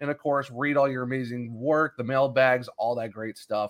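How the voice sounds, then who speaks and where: The delivery keeps a moderate pace. Intonation stays fairly even. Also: man. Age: 30s. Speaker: podcast host. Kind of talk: casual chat.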